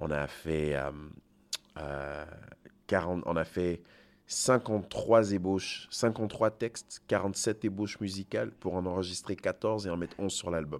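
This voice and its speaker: Very slow in pace, a man speaks at a very deep, low pitch. His pitch variation is ordinary. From Côte d'Ivoire, Togolese parents, French school system. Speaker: singer-songwriter, slam poet. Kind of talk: interview. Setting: festival backstage.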